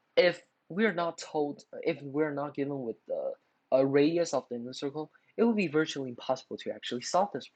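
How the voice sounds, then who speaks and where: Delivered at a moderate pace, the speech carries a non-native accent. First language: not English. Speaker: math tutorial youtuber. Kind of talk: tutorial. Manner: halting, many filler words.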